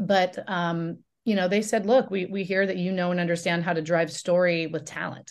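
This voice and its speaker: In a General American accent, a woman talks at a moderate pace. Hers is a normal speaking voice with a fairly low pitch. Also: fairly even intonation. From Oregon, US Pacific Northwest. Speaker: media company founder and CEO. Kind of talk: interview.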